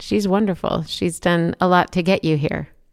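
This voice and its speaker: A woman's normal speaking voice, fairly low in pitch with ordinary pitch variation, on a very clean recording against a silent background. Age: 50s. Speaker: podcast host. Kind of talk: interview.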